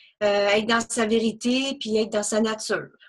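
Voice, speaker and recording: A woman's fairly high voice, bright and sharp in tone. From British Columbia, Canada. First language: English (speaking French). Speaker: NLP trainer. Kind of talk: interview. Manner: spontaneous.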